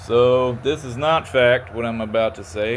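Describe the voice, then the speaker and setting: A man with a Kentucky accent talks at a fairly slow pace. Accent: Southern US (Kentucky). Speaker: auditor and video creator. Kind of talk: casual monologue to camera. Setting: in a car. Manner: occasional stutter; halting, slightly impaired articulation.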